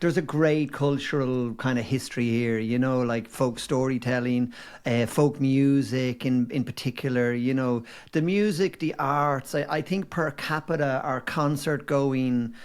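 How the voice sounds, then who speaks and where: In a slight Dublin accent, a man speaks at medium pitch and a fairly slow pace with ordinary pitch variation and very even loudness, on a very clean recording with a silent background. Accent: mild Dublin. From Ireland, Dublin. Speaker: former advertising agency owner. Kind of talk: casual chat.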